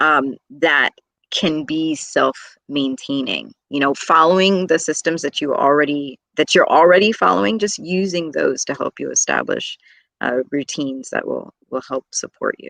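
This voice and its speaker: A woman speaks with a very deep, low pitch. The sound is dry and close with no echo, over a quiet background. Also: moderate pace. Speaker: teacher and speaker. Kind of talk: interview answer.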